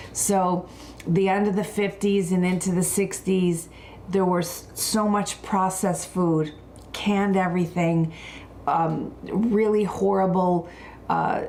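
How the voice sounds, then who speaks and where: A woman speaks very slowly at a medium pitch in a dark, mellow tone, with monotone, flat intonation and very even loudness. Audible room echo surrounds her voice. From Buffalo, New York. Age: 60s. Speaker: wellness and skincare expert. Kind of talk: live wellness talk.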